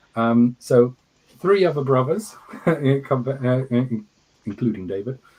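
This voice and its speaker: A man with an English accent speaks at medium pitch with lively intonation. He leaves long, frequent pauses. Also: fairly slow pace. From Scotland, Fife countryside, from age two. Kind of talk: interview. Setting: livestream. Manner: halting, repeats words.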